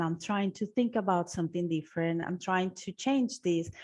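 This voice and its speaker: A woman's medium-pitched voice with a non-native accent, against a quiet background. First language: not English. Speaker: language teacher, webinar presenter. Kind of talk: webinar presentation. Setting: online webinar.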